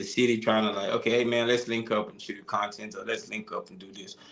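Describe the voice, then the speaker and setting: A man at a fairly quick pace with hardly any pauses, fairly even intonation and big swings in loudness, amid noticeable background noise. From Nigeria. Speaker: musician. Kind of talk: interview. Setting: live stream. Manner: halting.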